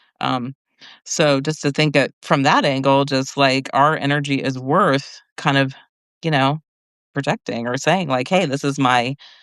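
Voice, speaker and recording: At a fairly slow pace, a woman talks with a very deep, low pitch and fairly even intonation, in a dry, close sound with no echo over a quiet background. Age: 50s. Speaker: medium. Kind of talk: casual chat.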